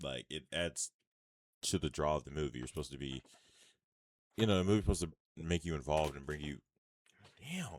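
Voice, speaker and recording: Recorded with a dry, close sound and no echo, a man speaks at a very deep, low pitch with vocal fry and ordinary pitch variation, moving at a very fast pace between long, frequent pauses. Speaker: movie reviewer. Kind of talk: casual movie review. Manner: loud.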